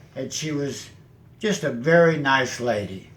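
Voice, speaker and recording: The recording has audible room echo. A man talks at a fairly high pitch that varies in an ordinary way. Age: 80s+. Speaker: retiree helping seniors exit timeshares. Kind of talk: testimonial. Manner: conversational.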